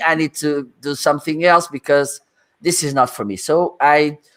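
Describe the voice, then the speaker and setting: A man speaks at a fairly slow pace with a Portuguese accent. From northern Portugal. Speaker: livestreaming expert. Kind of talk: interview. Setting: livestream. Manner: animated.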